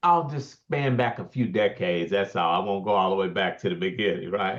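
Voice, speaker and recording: At a fairly quick pace, a man uses a plain, everyday voice with fairly low pitch and lively intonation. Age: 60s. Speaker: keynote speaker and real estate developer, paraplegic. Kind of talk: podcast interview.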